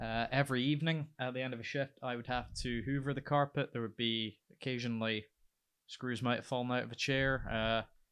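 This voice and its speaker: A man with a Scottish accent, medium pitch, fairly even intonation and a moderate pace, on a very clean recording with a silent background. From Scotland. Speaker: lighting technician and radio presenter. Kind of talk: casual chat.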